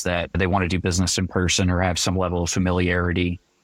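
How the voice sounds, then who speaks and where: A man with an American accent at a fairly quick pace, the sound dry and close with no echo. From New Jersey. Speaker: pharmacy sales and marketing company staff. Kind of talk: podcast interview. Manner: fast.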